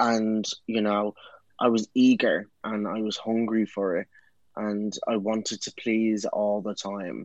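Someone with a Dublin accent speaks against a quiet background. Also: man, fairly low pitch for a man. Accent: Irish (Dublin). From Ireland, Dublin. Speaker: actor and writer. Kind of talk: casual interview. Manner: animated.

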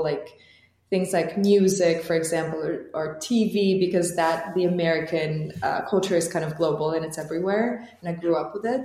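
A woman's fairly low voice with an Albanian accent, moderate pace and ordinary pitch variation, over noticeable background noise. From Albania (Tirana). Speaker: startup founder and CEO. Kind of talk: interview.

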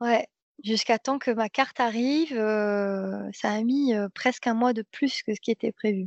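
A woman's ordinary speaking voice, fairly high in pitch, at a fairly slow pace with fairly even intonation. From France, Seine-et-Marne (Paris region). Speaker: dancer and traveller. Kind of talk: casual interview.

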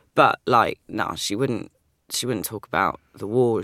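A London accent at a fairly quick pace, in a dry, close sound with no echo on a very clean recording with a silent background. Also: woman. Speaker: writer and poet. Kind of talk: casual interview.

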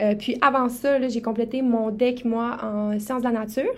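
A woman's fairly high voice in a Saguenay accent, monotone and flat, at a very slow pace. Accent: Québécois French (Saguenay). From Quebec, Saguenay-Lac-Saint-Jean. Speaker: podcast co-host, medical student. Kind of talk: casual podcast introduction.

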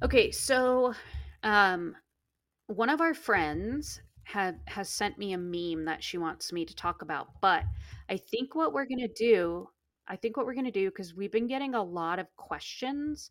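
In a very clean recording with a silent background, a woman with an ordinary speaking voice and an American accent talks at a fairly slow pace with lively intonation. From Alaska interior. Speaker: podcast host, wildlife expert. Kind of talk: casual chat.

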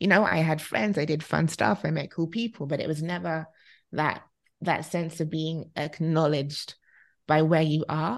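With a British accent, a woman speaks at a moderate pace in a very deep, low pitch with ordinary pitch variation against a quiet background. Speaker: relocation expert. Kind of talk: casual chat.

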